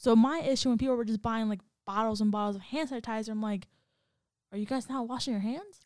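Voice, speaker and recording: A woman talks at a very fast pace, her pitch fairly high with ordinary variation. The recording is very clean, the background silent. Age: 20s. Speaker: podcast co-host. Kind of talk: casual chat.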